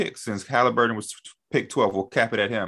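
This man has a bright, sharp tone and an American accent. Behind him the background is quiet. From Chicago. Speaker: basketball media personality. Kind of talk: casual chat.

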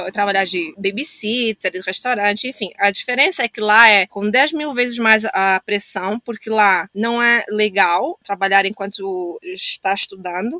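A woman with a fairly high pitch and ordinary pitch variation talks at a fairly slow pace with hardly any pauses, in an unremarkable speaking voice and a dry, close sound with no echo. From Angola, Luanda. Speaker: social entrepreneur. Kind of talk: casual interview chat.

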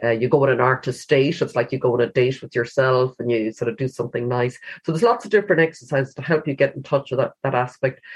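A woman with a western Irish accent talks at a very fast pace in a very deep, low pitch, somewhat breathy, with ordinary pitch variation. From Galway, Ireland. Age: 50s. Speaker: author and cancer survivor. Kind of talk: interview.

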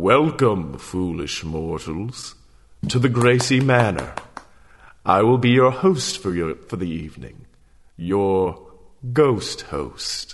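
A put-on character voice, booming, moves at a very slow pace. Long, frequent pauses break up the speech. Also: man, fairly low pitch for a man. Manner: theatrical, ominous.

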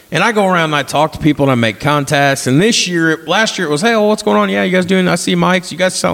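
A man talks very fast in a fairly high pitch, with hardly any pauses. His pitch swings very widely while his loudness stays very even. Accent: Southern Indiana. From southern Indiana. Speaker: podcast host. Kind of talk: casual chat.

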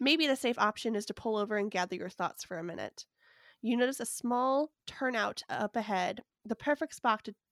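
A woman's playful, fairly high voice with ordinary pitch variation and a moderate pace, in a very clean recording with a silent background and a dry, close sound with no echo. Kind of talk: bedtime or ghost story telling, reading aloud a second-person adventure tale. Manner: narrates in a hushed, spooky storyteller tone, eerie and suspenseful; slips into playful character voices and laughs at flubs.

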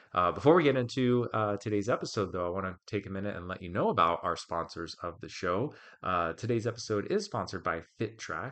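With an American accent, a man uses an ordinary speaking voice, fairly low in pitch and fairly quick in pace. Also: ordinary pitch variation. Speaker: podcast host and coach. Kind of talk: podcast interview and solo research review. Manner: conversational with filler words.

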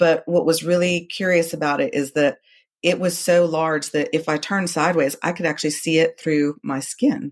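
A woman with a normal speaking voice talks at a moderate pace. Her fairly low pitch shows ordinary variation. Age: 40s. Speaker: amateur tennis player and breast cancer survivor. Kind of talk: interview testimony.

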